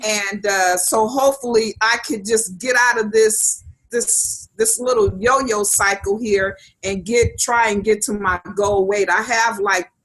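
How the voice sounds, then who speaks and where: Fairly slow speech with fairly even intonation, music in the background. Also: woman, fairly high pitch for a woman. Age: 50s. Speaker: health challenge participant. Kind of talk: casual chat. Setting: video call.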